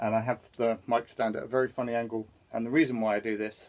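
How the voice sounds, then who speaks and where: A man's medium-pitched voice at a moderate pace. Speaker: singer-songwriter musician. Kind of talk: casual gear demonstration.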